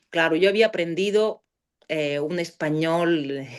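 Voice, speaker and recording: A woman speaks with a Bulgarian accent. Her pace is very slow. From Bulgaria (Sofia). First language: Bulgarian (speaking Spanish). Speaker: philology professor. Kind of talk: interview. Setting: podcast. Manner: halting, many fillers.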